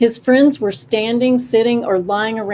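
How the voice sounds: The clip carries a natural reading voice. Intonation remains fairly even.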